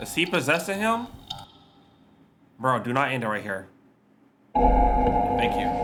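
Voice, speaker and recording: Over music in the background and audible room echo, a man talks at a fairly slow pace with long, frequent pauses. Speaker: gaming and reaction streamer. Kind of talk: casual reaction commentary.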